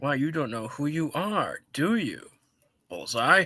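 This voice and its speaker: A man puts on a character voice, speaking at a fairly slow pace with a fairly high pitch, on a very clean recording with a silent background. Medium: game stream.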